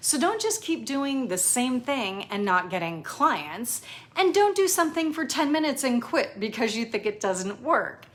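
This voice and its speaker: A woman's high, animated voice at a moderate pace, with very wide pitch swings and noticeable background noise. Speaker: personal chef and business coach. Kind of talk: tutorial.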